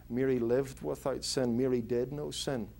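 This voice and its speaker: With a Northern Irish accent, this man talks at a moderate pace in a dark, mellow tone. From Northern Ireland (Belfast). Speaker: pastor. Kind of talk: interview answer. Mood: earnest, explanatory. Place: office.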